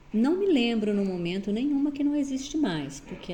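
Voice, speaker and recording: Audible room echo surrounds a woman speaking at a moderate pace with very wide pitch swings. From southern Brazil, Paraná (Astorga area). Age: 60s. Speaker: retired teacher. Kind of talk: interview.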